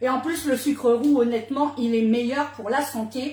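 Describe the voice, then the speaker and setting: A woman talks loudly in an animated tone. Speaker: cooking demonstrator. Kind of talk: live cooking demo. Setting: livestream.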